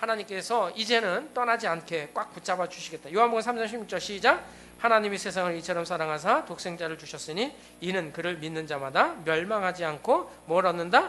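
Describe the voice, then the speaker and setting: A man's high, raised, projected voice at a fairly quick pace. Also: ordinary pitch variation. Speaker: pastor. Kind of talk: sermon. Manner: fast.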